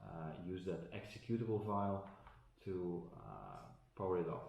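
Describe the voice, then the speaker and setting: Audible room echo surrounds a man with a Dutch accent who speaks fairly slowly at a very deep, low pitch with fairly even intonation. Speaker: tech unboxing vlogger. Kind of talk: tutorial. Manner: halting, many fillers.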